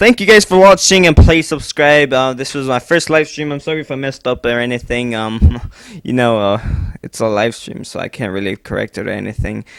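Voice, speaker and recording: Talking at a fairly quick pace, a man of medium pitch uses lively intonation, his loudness swinging widely. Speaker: creepypasta narrator. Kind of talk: casual chat. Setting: live stream. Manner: halting.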